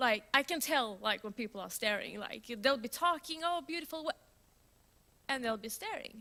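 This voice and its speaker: A woman's raised, projected voice, animated and lively in intonation, with a bright, sharp tone. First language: Swedish. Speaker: software developer, conference speaker. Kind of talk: conference talk. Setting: stage with audience. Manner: loud.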